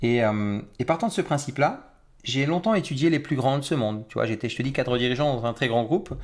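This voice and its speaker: Speaking very fast with lively intonation, a man with a fairly high voice is heard on a very clean recording with a silent background. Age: 40s. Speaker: mindset trainer. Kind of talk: interview.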